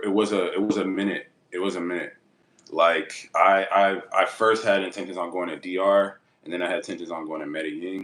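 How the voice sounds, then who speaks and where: A man speaks in a very deep, low voice. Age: 20s. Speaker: small business owner and YouTuber. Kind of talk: casual interview chat. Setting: in Thailand. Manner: halting, filler-heavy.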